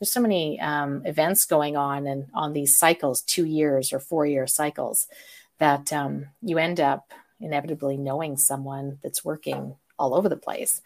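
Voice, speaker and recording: A woman with a Western Canadian accent speaks in a very deep, low pitch at a moderate pace. Her intonation is fairly even, and the recording is very clean with a silent background. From Calgary, Canada. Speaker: live event producer. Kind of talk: interview.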